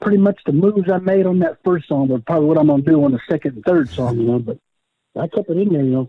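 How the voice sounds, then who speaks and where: A man with an American accent, fairly high-pitched, at a very fast pace with lively intonation. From Oklahoma. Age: 60s. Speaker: powwow fancy dancer. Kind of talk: casual interview. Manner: frequent fillers, repetitions.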